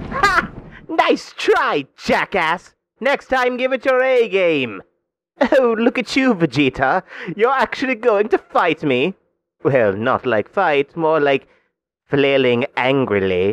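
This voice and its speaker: A man puts on a character voice, high-pitched and at a fairly slow pace. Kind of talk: voice-acting demo, comic villain. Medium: voice reel. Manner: smug, sneering, condescending.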